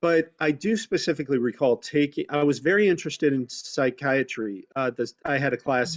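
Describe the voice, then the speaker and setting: A man with a plain, everyday voice, pitched fairly high and with ordinary pitch variation. He talks at a moderate pace with hardly any pauses. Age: 60s. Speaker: community outreach worker, former broadcaster. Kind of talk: career talk on webinar panel. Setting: video call.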